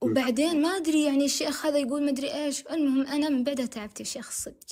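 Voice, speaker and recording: A woman's high-pitched voice at a very fast pace, with fairly even intonation. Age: 20s. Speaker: caller. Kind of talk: testimony.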